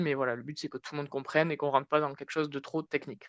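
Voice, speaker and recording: The recording has a dry, close sound with no echo and a quiet background as a man speaks in a fairly high pitch. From southwest France, Tarn. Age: 20s. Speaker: marketing consultant, conference speaker. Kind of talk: conference talk. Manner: casual, hesitant with many fillers.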